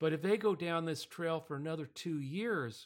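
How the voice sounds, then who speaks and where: A man with an ordinary speaking voice, a fairly high pitch and a moderate pace, in a very clean recording with a silent background. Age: 60s. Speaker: podcast host. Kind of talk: casual political podcast discussion.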